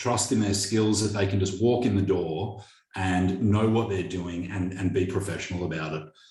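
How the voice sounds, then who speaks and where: Somewhat breathy and fairly low-pitched, a man with an Australian accent speaks with ordinary pitch variation amid audible room echo. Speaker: business owner. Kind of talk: interview. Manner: hesitant, repeats words.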